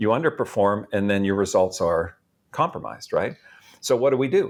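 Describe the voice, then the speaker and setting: A man talks at a fairly quick pace in an ordinary speaking voice with medium pitch and lively intonation. His loudness stays very even on a very clean recording with a silent background. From Canada, Edmonton. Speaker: motivational speaker and author. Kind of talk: podcast interview.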